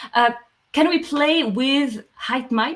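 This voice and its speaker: In a French accent, a woman talks at a fairly slow pace with lively intonation and a somewhat breathy voice. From France. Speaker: software company CEO. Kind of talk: Q&A answering audience questions. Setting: online livestream meetup. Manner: hesitant, many fillers.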